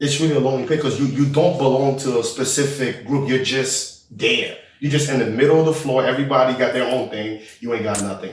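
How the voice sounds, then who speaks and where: A man's speech comes through with audible room echo and noticeable background noise. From Haiti, moved to the US as a child. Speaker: podcast co-host. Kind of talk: casual chat.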